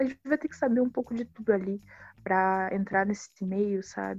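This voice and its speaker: Fairly high in pitch, a woman talks at a moderate pace with fairly even intonation. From Baixada Fluminense, Rio de Janeiro, Brazil. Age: 20s. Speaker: filmmaker. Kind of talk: interview.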